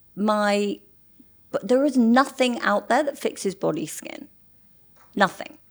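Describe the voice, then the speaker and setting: A woman with an English accent speaks with lively intonation at a fairly slow pace. She leaves long, frequent pauses. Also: fairly high pitch for a woman, big swings in loudness. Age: 60s. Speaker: model. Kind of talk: interview conversation.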